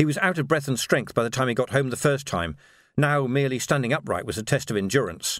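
Natural-sounding voice reading aloud

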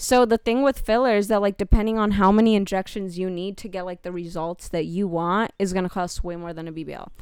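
A normal speaking voice runs at a fairly quick pace with hardly any pauses, ordinary pitch variation and big swings in loudness, on a very clean recording with a silent background. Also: woman, medium pitch for a woman. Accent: American. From California, of Mexican descent. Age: young. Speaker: model. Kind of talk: casual chat.

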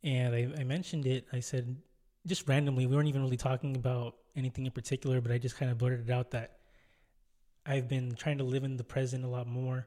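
A man's medium-pitched, dark, mellow voice, somewhat breathy, with very even loudness, a monotone, flat delivery and a very fast pace. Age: 20s. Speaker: solo podcast host. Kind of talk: casual monologue.

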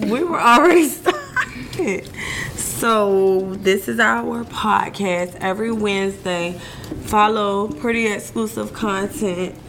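Over noticeable background noise, a woman speaks very slowly at a medium pitch with very wide pitch swings. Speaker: podcast co-host. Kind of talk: casual chat. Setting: livestream.

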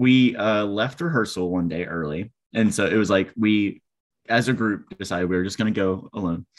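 A man with a fairly low pitch and ordinary pitch variation talks at a moderate pace in a normal speaking voice. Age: 20s. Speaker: actor and podcast co-host. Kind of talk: casual chat.

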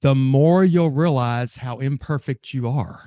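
With a Southern US accent, a man speaks at a very slow pace in a dark, mellow tone. His pitch varies in an ordinary way, and the background is quiet. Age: 50s. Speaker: sales trainer. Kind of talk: interview conversation.

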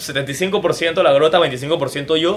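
A man speaks over noticeable background noise. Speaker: theatre and TV producer. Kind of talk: casual interview chat.

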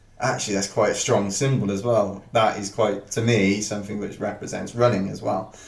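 A man with a South Welsh accent speaks at a fairly quick pace with hardly any pauses, his fairly low pitch kept fairly even. Noticeable background noise and audible room echo fill the recording. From Wales, Penarth near Cardiff. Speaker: ultra runner. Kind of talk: casual interview.

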